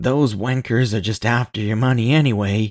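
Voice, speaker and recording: A man uses a put-on character voice at a medium pitch. He talks at a moderate pace over a quiet background. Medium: read story. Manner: wisecracking, irreverent, slightly off-kilter.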